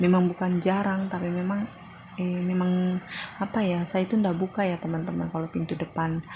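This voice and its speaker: A woman speaks with a fairly low-pitched voice. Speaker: vlogger, stay-at-home mother. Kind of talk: vlog voiceover narration. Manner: chatty, talkative.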